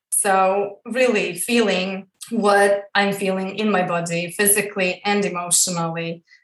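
With a Croatian accent, a woman speaks at a medium pitch and a fairly slow pace. Her intonation is monotone and flat. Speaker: female empowerment coach. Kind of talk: interview.

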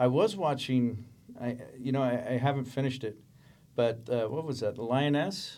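A speaker with an American accent talks at a moderate pace. The tone is dark and mellow. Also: man, medium pitch for a man, ordinary pitch variation. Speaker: special effects coordinator. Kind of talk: casual chat.

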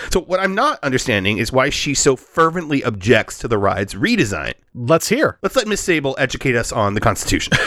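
A man's fairly high voice at a fairly quick pace, with very wide pitch swings and noticeable background noise. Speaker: podcast host. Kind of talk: casual comedic chat podcast. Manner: joking, laughs often.

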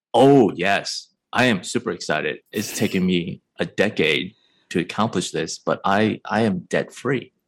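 A man with an American accent and fairly low pitch talks in an unremarkable speaking voice on a very clean recording with a silent background. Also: lively intonation, fairly slow pace. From US Midwest, Chicago. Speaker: tech company CEO, trained architect. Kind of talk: interview.

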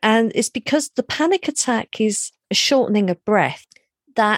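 A woman with a southern English accent speaks at a fairly slow pace in a fairly high voice, her intonation lively, the sound dry and close with no echo on a very clean recording over a silent background. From London, England. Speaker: hypnotherapist. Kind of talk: interview.

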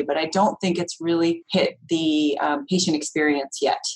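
A woman speaks fairly quickly in a fairly low pitch, with fairly even intonation. Hers is an unremarkable speaking voice. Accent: American. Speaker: nursing professor, researcher. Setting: video call.

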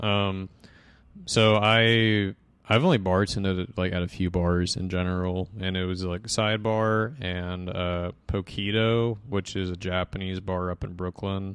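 The speaker talks at a fairly slow pace. The intonation stays fairly even. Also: man, very deep, low pitch for a man. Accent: American. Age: 20s. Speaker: bartender. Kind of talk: casual chat.

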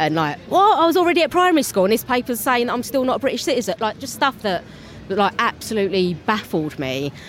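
A woman's very fast speech in a Cockney accent, fairly high in pitch, with very wide pitch swings. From London. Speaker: theatre-maker. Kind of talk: interview.

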